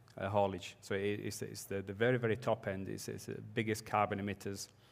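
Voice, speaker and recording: Music plays in the background as a man talks fairly quickly at a fairly low pitch in a monotone, flat intonation. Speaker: company managing director. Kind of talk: panel discussion.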